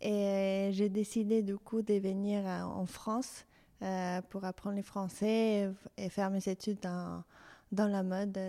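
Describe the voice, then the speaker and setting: In a very clean recording with a silent background, a woman speaks very slowly at medium pitch in a dark, mellow tone with flat, monotone intonation. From Mexico City. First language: Spanish (speaking French). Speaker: fashion designer. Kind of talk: interview. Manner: halting.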